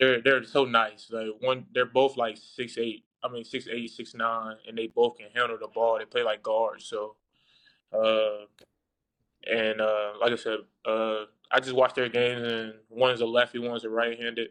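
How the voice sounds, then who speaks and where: Monotone and flat in intonation, a man speaks at medium pitch with big swings in loudness. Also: moderate pace. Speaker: former college basketball player, now pro. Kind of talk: interview. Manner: laid back.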